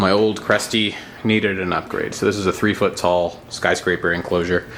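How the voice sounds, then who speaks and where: A man is talking at a moderate pace. Noise is noticeable in the background. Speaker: aquarium and reptile hobbyist youtuber. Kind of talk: casual video tour. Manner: loud; casual, filler-heavy.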